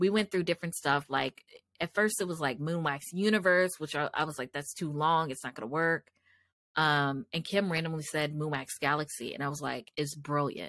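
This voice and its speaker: Animated in tone, a woman speaks at a moderate pace with a very deep, low pitch and ordinary pitch variation. The sound is dry and close with no echo, on a very clean recording with a silent background. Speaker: podcast host and candle business owner. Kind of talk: casual solo monologue. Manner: loud; animated, filler-heavy.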